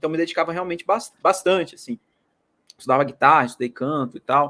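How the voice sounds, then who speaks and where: Recorded dry and close with no echo, a man speaks fairly quickly in a fairly high pitch, his bright, sharp tone carrying ordinary pitch variation. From Brazil, Minas Gerais. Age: 20s. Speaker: market analyst. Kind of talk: interview.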